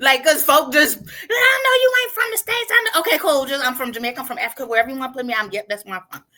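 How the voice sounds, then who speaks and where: Raised and projected, a woman's high-pitched voice races along at a very fast pace. Her pitch swings very widely and her loudness rises and falls sharply. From Cleveland, US. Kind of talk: casual interview chat. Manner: animated.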